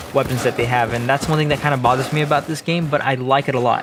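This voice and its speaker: A man's fairly high voice holds fairly even intonation as noticeable background noise carries on behind him. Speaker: gaming YouTuber. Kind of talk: gameplay commentary. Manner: halting, stumbling over words.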